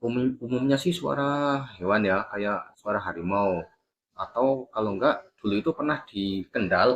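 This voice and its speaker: At a fairly slow pace, a man with a strong Javanese accent talks with medium pitch and lively intonation. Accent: Javanese, medok. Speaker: paranormal content creator. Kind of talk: interview. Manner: casual, relaxed.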